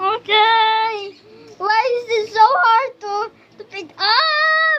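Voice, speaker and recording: An extremely high pitch marks this put-on character voice. The delivery is very slow. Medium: voice reel. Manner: whiny, complaining.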